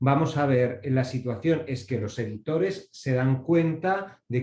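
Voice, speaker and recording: Fairly slow and somewhat breathy, a man talks in a fairly high pitch with a dark, mellow tone and ordinary pitch variation. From Basque Country, Spain. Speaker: copyright organization representative, panelist. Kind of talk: panel presentation.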